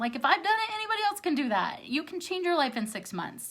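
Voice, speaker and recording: A woman speaks in a raised, projected voice. Her tone is bright and sharp. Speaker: life coach. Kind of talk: motivational talk to viewers. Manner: halting, self-correcting.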